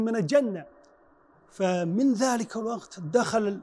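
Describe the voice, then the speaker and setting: Very slow, high-pitched male speech with lively intonation, in a Chinese accent. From China, Henan province. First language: Chinese (speaking Arabic). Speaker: Quran reciter and imam. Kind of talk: interview testimony. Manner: halting.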